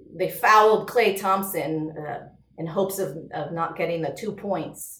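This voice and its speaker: A woman speaks at a medium pitch with an animated tone and lively intonation. Audible room echo surrounds her voice. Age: 30s. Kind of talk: casual chat.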